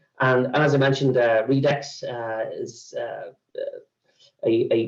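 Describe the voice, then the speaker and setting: The speaker is a man. He talks with an Irish accent. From Ireland. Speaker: sales executive for a news database company. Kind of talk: webinar presentation. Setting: online webinar. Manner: halting, many fillers.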